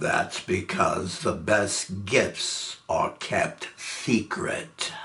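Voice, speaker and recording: This man uses a put-on character voice at a medium pitch. He talks at a very slow pace. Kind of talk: stage comedy villain. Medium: stage play. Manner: smooth, refined, polite.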